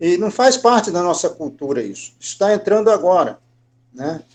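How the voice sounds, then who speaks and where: Here a man speaks in a high pitch. His tone is dark and mellow. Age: 60s. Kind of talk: question and comment in an online formation session.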